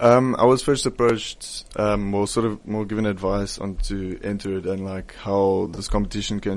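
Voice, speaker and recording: A man's fairly low pitch, delivered in a monotone, flat way. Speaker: pageant contestant. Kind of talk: radio interview.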